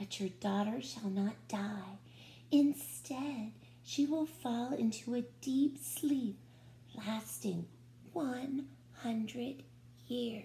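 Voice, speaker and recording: In a put-on character voice, the speaker goes very slowly with long, frequent pauses over clear background noise. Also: woman. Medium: read story.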